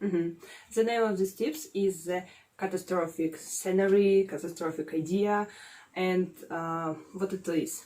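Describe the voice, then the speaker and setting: A woman with a Russian accent talks at a fairly slow pace, her pitch medium with ordinary variation. She leaves long, frequent pauses. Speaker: psychology student, guest expert. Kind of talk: casual advice chat. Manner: halting, many filler sounds.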